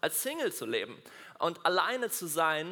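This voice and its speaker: A man's animated, high-pitched delivery. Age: 20s. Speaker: doctor and church speaker. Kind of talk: sermon.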